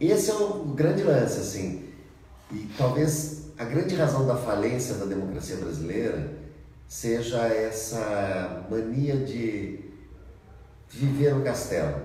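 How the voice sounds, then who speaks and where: Over noticeable background noise and audible room echo, a man speaks at a very slow pace with very wide pitch swings. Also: medium pitch for a man. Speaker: mayoral candidate. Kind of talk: live Q&A stream. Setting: live Facebook video with sign interpreter.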